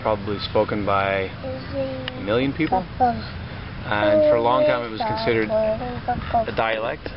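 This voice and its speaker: The man's fairly slow speech carries audible room echo, with noticeable background noise behind it. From Netherlands, Limburg province. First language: Dutch. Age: 30s. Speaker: chef and mind-body therapist. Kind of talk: casual street interview.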